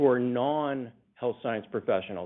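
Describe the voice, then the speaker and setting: A man with a normal speaking voice talks at a medium pitch. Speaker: union classifications department lead. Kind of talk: presentation in a telephone town hall. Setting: telephone call.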